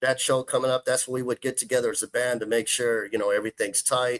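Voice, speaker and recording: A man with an American accent, a normal speaking voice at medium pitch, fairly quick pace and ordinary pitch variation, in a dry, close sound with no echo. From Texas, Houston. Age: 40s. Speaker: guitarist. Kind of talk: casual chat.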